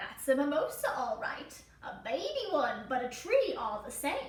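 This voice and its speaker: In a put-on character voice, a woman speaks at high pitch and a moderate pace with slight echo. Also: big swings in loudness. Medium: read story. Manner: warm, gentle.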